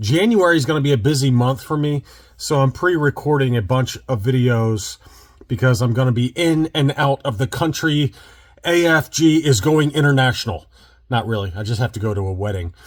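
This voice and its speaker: Somewhat breathy, a man speaks fairly quickly at medium pitch. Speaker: toy collecting YouTuber. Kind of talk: casual vlog commentary. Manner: casual, some stammering.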